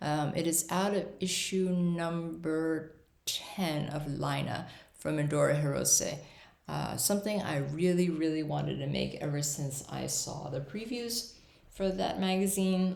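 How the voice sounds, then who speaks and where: A woman speaks with a very deep, low pitch and ordinary pitch variation at a fairly slow pace. Audible room echo and noticeable background noise are present. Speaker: knitting podcaster. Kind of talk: casual chat. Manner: hesitant with fillers.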